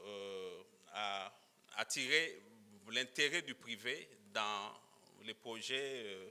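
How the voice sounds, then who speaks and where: A man speaks at a very slow pace. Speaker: legal expert presenting at a conference. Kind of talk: conference presentation. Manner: halting, many fillers and repetitions.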